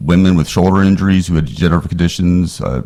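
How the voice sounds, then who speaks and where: This man's voice sits at a very deep, low pitch. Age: 60s. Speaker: attorney testifying as witness. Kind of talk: committee hearing testimony.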